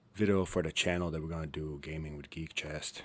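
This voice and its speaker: A man speaks quietly at a moderate pace. His pitch is very deep and low. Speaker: gaming YouTuber. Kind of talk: gameplay commentary. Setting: at home. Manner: quiet, hushed.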